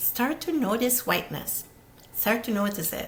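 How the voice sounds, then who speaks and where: Audible room echo surrounds a woman who speaks with lively intonation in an Italian accent. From Italy. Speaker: podcast host, therapist. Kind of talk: solo video talk, social commentary. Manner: fast.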